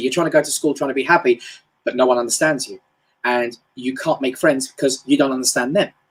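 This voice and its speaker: A man speaks in a London accent with ordinary pitch variation. The recording is very clean, with a silent background. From England, North London. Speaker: motivational speaker. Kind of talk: live-stream motivational talk. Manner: casual, hesitant with fillers.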